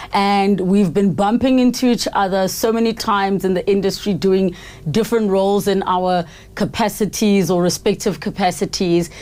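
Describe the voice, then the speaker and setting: With an unremarkable speaking voice, a woman at medium pitch talks at a moderate pace, her loudness very even. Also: fairly even intonation. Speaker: podcast host. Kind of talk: podcast interview questions.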